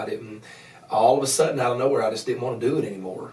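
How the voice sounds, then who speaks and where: Through audible room echo and noticeable background noise, a man with an Appalachian accent speaks at a medium pitch. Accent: Appalachian Southern US. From US Appalachia, Grundy, Virginia. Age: 30s. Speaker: evangelist. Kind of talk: podcast interview testimony. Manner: halting, many repeated words.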